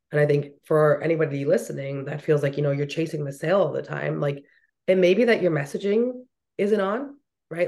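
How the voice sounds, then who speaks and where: A woman speaks at a very fast pace. Her pitch is very deep and low. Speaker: marketing and business coach. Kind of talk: interview.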